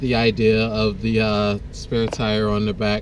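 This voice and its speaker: There's noticeable noise in the background. A man does the talking. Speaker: van-dwelling vlogger. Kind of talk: casual vlog talk. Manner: hesitant, many fillers.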